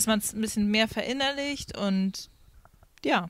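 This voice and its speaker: A woman with an ordinary speaking voice and a fairly high pitch talks at a moderate pace. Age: 30s. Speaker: singer and former youth leader. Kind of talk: casual chat. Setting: outdoors.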